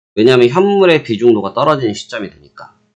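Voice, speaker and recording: Medium pitch from a man, swinging very widely up and down. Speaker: futures trading market commentator. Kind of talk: market briefing.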